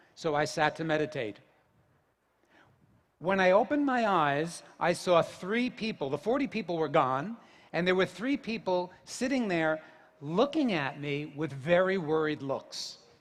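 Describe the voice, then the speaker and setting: A man speaks at a moderate pace in a New Jersey accent, his pitch high for a man. His intonation is lively, and the background is quiet. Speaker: yoga teacher. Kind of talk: public talk.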